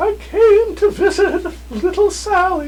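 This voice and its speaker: A man's put-on character voice, squeaky and extremely high, at a fairly slow pace over clear background noise. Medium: stage play. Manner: fussy, instructing.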